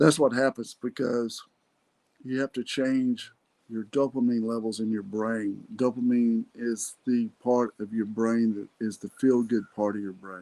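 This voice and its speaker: A man's medium-pitched voice with a Texan accent and a dark, mellow tone, at a fairly slow pace with fairly even intonation, in a dry, close sound with no echo. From Texas, Irving. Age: 60s. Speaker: podcast host. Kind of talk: motivational talk. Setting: solo podcast recording.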